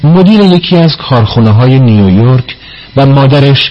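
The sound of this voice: Someone reads in an unforced voice, the intonation lively throughout.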